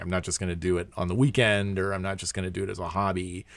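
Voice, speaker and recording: A man is speaking. He has an American accent. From small town in Pennsylvania. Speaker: podcast host and keyboardist. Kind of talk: podcast monologue; casual interview chat. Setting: in person in guest's basement studio.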